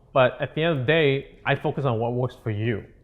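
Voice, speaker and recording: A man speaks in a Malaysian accent. His pitch varies in an ordinary way. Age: 30s. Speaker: real estate coach. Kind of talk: seminar talk. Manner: casual, halting.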